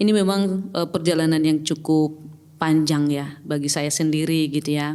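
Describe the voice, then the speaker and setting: A woman talks in a very deep, low pitch with fairly even intonation and a dark, mellow tone. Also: moderate pace. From Batak, North Sumatra. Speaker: pastor. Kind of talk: casual chat. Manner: hesitant, many fillers.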